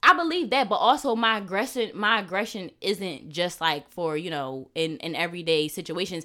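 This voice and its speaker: A loud woman's voice with a bright, sharp tone, lively intonation, a moderate pace and hardly any pauses, on a very clean recording with a silent background. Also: medium pitch for a woman. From Philadelphia area, US. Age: 20s. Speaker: podcast guest. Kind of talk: casual chat.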